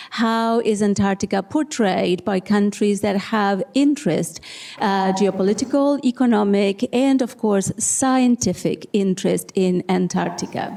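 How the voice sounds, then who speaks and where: A woman with an Argentine accent speaks at a fairly slow pace in a medium pitch, with very even loudness, ordinary pitch variation, hardly any pauses, and noticeable background noise. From Argentina, Tierra del Fuego. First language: Spanish. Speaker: social scientist. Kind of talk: panel discussion.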